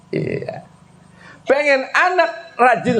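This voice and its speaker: Over noticeable background noise and audible room echo, a man talks with lively intonation and an animated tone. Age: 60s. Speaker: Islamic preacher. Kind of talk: sermon.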